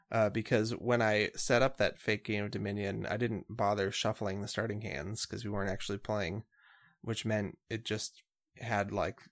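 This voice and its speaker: A man with a plain, everyday voice, fairly low in pitch, at a moderate pace with fairly even intonation, on a very clean recording with a silent background. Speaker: band podcast host, bassist and keyboardist. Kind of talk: casual chat.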